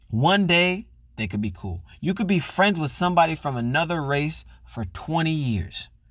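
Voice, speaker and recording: A man speaks at a moderate pace in an unremarkable speaking voice, fairly high in pitch with lively intonation. The recording is very clean, with a silent background. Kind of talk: angry rant. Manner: heated, loud, profane and indignant.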